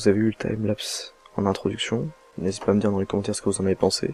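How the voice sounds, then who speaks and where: A soft-spoken man talks with a fairly low pitch. The sound is dry and close, with no echo. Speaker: gaming youtuber. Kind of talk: let's play commentary.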